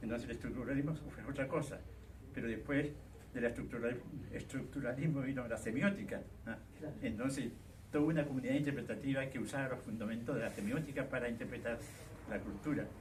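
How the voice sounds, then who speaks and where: Over noticeable background noise, a man speaks at a fairly quick pace and a medium pitch with fairly even intonation. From Chile, Puerto Montt. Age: 80s+. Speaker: academic, theatre scholar and writer. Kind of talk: public talk, open dialogue.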